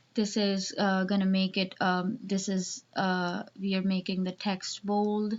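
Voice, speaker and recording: Speaking with a non-native accent, a woman talks at a very slow pace. Her medium-pitched voice stays monotone and flat. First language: not English. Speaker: student web developer. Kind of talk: tutorial. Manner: halting, many fillers.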